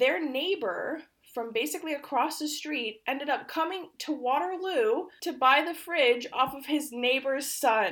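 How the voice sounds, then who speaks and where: A woman speaks loudly at a moderate pace with lively intonation and a bright, sharp tone, on a very clean recording with a silent background. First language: Polish. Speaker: podcast co-host. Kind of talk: casual chat. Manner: loud laughter.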